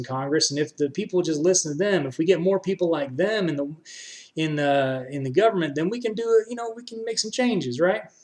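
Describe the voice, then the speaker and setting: A loud, passionate man with an American accent, a high pitch, lively intonation and a very fast pace. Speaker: political streamer. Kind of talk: live stream commentary.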